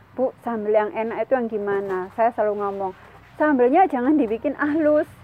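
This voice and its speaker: Lively intonation from a woman speaking at a high pitch. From East Java (Sidoarjo). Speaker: food processing consultant. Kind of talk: informal business talk / tutorial.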